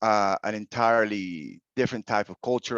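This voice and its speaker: A speaker with a Spanish accent talks at a fairly quick pace with fairly even intonation. The sound is dry and close with no echo, over a quiet background. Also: man. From Venezuela, then Utah, US. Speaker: online teacher. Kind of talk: podcast interview.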